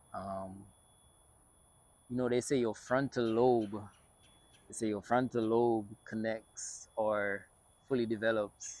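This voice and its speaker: This man speaks very slowly, his fairly low voice monotone and flat. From Jamaica. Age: 20s. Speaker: filmmaker and content creator. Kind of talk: personal vlog monologue. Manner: casual, many fillers.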